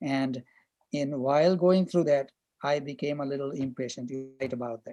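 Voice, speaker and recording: A man's fairly high, dark, mellow voice with a non-native accent, fairly even intonation, big swings in loudness and a moderate pace. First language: not English. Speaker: chemistry professor. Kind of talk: online class discussion.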